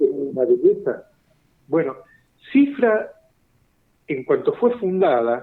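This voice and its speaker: Very slow speech from a man, broken by long, frequent pauses. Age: 70s. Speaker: science journalist and writer. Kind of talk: interview.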